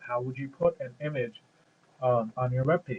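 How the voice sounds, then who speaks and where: A man is speaking. His voice is somewhat breathy. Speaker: programming tutorial maker. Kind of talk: tutorial. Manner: many fillers and repetitions.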